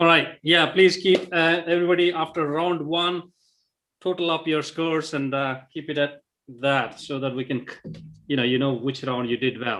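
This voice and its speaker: A man with a non-native accent speaks at a fairly high pitch and a moderate pace with ordinary pitch variation. Music plays behind him. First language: not English. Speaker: quiz co-host. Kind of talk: live quiz hosting.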